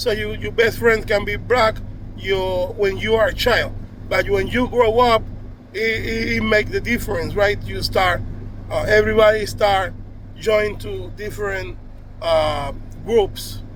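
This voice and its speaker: With a Spanish accent, a man speaks at a fairly slow pace with long, frequent pauses, over noticeable background noise and audible room echo. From Cuba. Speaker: video blogger. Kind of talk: casual monologue to camera. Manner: halting, with many restarts and fillers.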